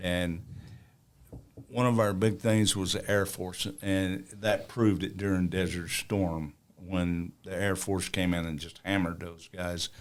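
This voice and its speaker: A man with a Southern US accent, very deep and low in pitch, at a fairly slow pace and with fairly even intonation. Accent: Southern drawl. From US South, northern Alabama. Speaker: war veteran. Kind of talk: interview. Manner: halting.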